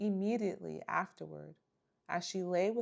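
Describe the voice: Plain reading aloud happens here over a quiet background.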